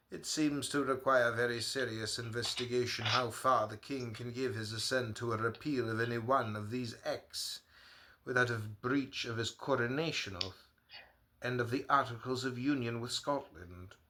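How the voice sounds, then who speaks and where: With an American accent, a man speaks at a moderate pace and medium pitch. His tone is bright and sharp, his intonation fairly even. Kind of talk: reading historical letters aloud.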